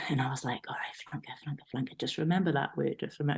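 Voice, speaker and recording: Speaking in a Geordie accent, a woman sounds somewhat breathy. She goes at a very fast pace with ordinary pitch variation. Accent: broad Geordie. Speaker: rugby player. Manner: animated storyteller, self-deprecating.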